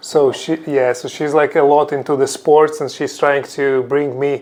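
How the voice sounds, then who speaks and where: A man with a fairly high pitch talks in a non-native accent. Noticeable background noise sits behind him. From Ukraine. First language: Ukrainian or Russian. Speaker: crypto executive. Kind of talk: interview. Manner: hesitant, with fillers.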